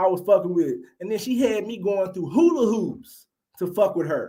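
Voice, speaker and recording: An animated man with a high pitch and a fairly quick pace. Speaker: podcast host giving relationship commentary. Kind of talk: solo commentary rant. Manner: stuttering at times.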